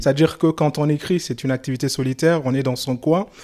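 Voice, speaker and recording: A man's fairly high voice with fairly even intonation and a West African accent. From Mali. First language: Soninke (speaking French). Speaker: novelist. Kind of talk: interview. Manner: halting.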